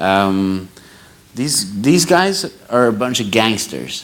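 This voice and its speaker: Someone speaks at a very slow pace in a Norwegian accent, with noticeable background noise and audible room echo. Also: man. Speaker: audience member at photography debate. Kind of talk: panel Q&A question. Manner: halting.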